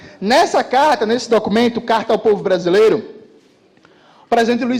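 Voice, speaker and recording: This man's pitch is extremely high. His tone is animated. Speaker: political commentator. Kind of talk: political speech to live audience. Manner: fast.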